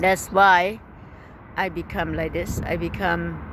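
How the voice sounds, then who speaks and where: There is noticeable background noise. Through it, a woman speaks at a medium pitch. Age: 60s. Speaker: YouTuber and businessperson. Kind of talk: casual vlog monologue. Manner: conversational, frequent filler phrases.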